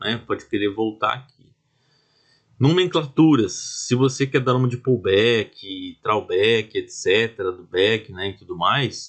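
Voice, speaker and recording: Speaking at a fairly slow pace, a man with a medium pitch sounds somewhat breathy, and his intonation is lively. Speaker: trading instructor. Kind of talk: tutorial. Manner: slow, deliberate.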